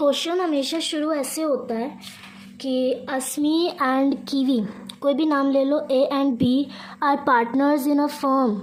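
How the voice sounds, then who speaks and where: Over noticeable background noise and audible room echo, a woman speaks at a fairly slow pace in a high pitch with fairly even intonation. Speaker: teacher. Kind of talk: tutorial.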